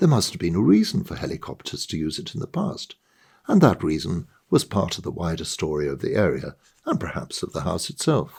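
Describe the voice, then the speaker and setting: A man at a moderate pace. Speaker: author. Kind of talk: short story reading.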